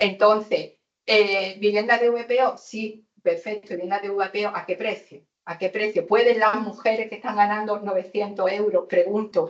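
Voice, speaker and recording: The woman's medium-pitched voice stays monotone and flat as she talks at a moderate speed. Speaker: housing activist on a panel. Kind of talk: panel debate.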